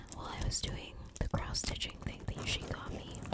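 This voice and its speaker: A woman's whisper comes at a moderate pace against noticeable background noise. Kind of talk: ASMR candy-eating talk to camera. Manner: soft-spoken, whispery.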